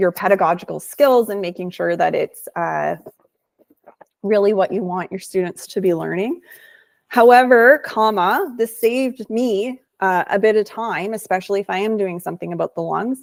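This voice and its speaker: At a moderate pace, a woman talks with medium pitch and ordinary pitch variation. Hers is an unremarkable speaking voice. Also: dry, close sound with no echo. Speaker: teacher-trainer presenting a tech webinar. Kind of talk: tutorial. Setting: online webinar. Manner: casual.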